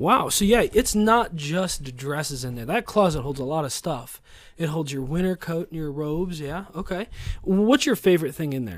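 On a very clean recording with a silent background, a man uses a normal speaking voice at a moderate pace, fairly high in pitch, with lively intonation and big swings in loudness. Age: 30s. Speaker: podcast host, father. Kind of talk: casual chat with his child.

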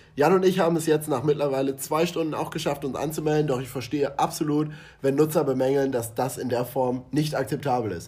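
At a fairly quick pace and with few pauses, a man speaks at medium pitch with ordinary pitch variation and a slightly mellow tone.

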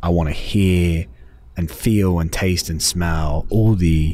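A man with a very deep, low voice. His delivery is somewhat breathy. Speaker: podcast host. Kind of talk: casual chat. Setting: recorded on location in Scottsdale.

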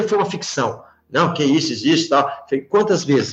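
Over music in the background, a man talks very fast at a high pitch. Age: 50s. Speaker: company CEO. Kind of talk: interview.

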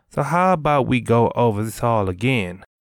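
This is a normal speaking voice, a man with a fairly low pitch talking at a moderate pace. The recording is very clean, with a silent background. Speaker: audiobook narrator. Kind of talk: literary audiobook reading, scripted fiction narration. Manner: measured, storytelling cadence.

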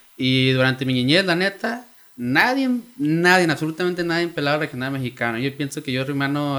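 Speaking fairly quickly, a man uses an ordinary speaking voice, and his pitch varies in an ordinary way. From Oakland, California (Mexican-American). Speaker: music industry creator. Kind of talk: casual chat.

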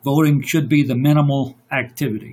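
A somewhat breathy man speaks at a fairly high pitch. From Louisiana. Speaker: podcast guest. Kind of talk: casual political discussion. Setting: remote online call, mic problems. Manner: halting, many fillers.

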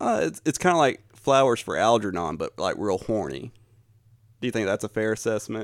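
Lively in intonation, a man talks at a fairly quick pace and medium pitch in a plain, everyday voice, on a very clean recording with a silent background. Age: 30s. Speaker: podcast host. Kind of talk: casual chat.

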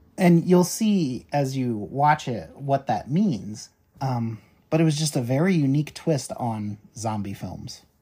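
Somewhat breathy and dark, mellow in tone, a man's fairly high voice moves at a fairly slow pace. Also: lively intonation. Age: 30s. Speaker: horror podcast co-host. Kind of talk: casual chat.

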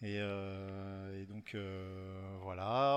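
The recording of a man talking is very clean, with a silent background. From western France (Rochefort, Charente-Maritime). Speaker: video game artist. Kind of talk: interview.

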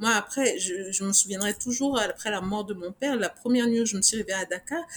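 Woman, somewhat breathy, fairly high pitch, ordinary pitch variation. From Niger. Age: 40s. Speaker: fashion designer and business owner. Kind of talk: interview.

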